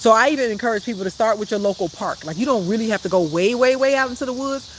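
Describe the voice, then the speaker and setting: Spoken at a very fast pace with a Chicago accent, the clip carries noticeable background noise. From Chicago, South Side. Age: 50s. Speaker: life coach. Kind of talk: live stream talk. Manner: casual, chatty.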